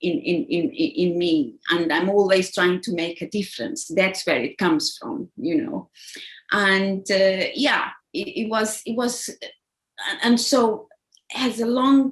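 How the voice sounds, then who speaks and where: A woman's somewhat breathy, fairly high voice at a very slow pace, with very wide pitch swings. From Angola (Luanda). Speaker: executive assistant. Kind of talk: interview. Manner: halting, many repetitions.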